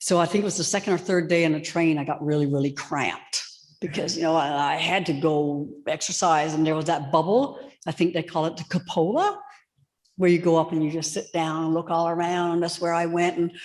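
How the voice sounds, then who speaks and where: In a Newfoundland accent, a woman talks at a fairly quick pace. Her pitch is fairly low. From Newfoundland, outport (the Bay). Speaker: author. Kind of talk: storytelling in live interview. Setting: church with live audience. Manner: animated.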